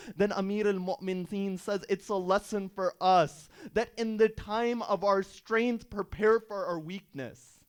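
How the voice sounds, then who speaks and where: In a very clean recording with a silent background, the voice moves at a fairly slow pace with fairly even intonation and hardly any pauses. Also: man, high pitch for a man. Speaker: Islamic preacher. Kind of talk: sermon.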